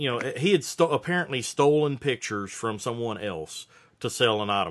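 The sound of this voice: The intonation is lively. A man talks at a moderate pace.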